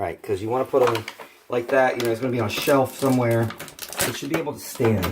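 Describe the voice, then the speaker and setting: Amid noticeable background noise and audible room echo, a man speaks at a very fast pace. His voice sits at medium pitch with ordinary pitch variation. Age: 30s. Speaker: toy reviewer. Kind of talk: toy review vlog. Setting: at home, near a bathroom. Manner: casual, halting.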